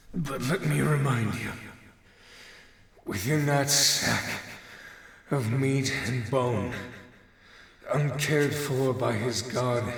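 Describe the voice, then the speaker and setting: In a put-on character voice at medium pitch, a man speaks at a very slow pace with long, frequent pauses and a clear echo. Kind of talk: dramatic speech. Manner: impassioned, defiant.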